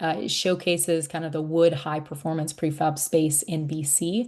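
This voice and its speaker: There is an ordinary speaking voice here, belonging to a woman with a fairly low pitch. She goes at a moderate pace against a quiet background. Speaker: climate program staff presenter. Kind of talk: webinar presentation.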